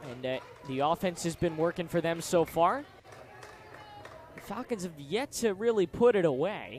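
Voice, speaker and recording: A man speaks loudly at a high pitch, with lively intonation. His pace is moderate, and there is noticeable background noise. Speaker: student sports broadcaster. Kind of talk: live play-by-play commentary. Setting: studio.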